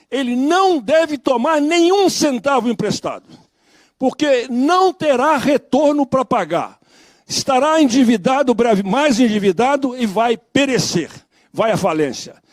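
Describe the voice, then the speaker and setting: The speaker talks at a fairly slow pace with lively intonation and very even loudness, in a dry, close sound with no echo and a very clean recording over a silent background. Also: man. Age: 80s+. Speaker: dairy sector advocate at public hearing. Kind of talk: public hearing speech. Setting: public hearing. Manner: formal.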